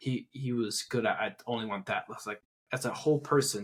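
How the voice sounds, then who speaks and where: This man talks at a moderate pace. His medium pitch shows ordinary variation. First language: not English. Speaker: podcast co-host. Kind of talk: casual chat. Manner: halting.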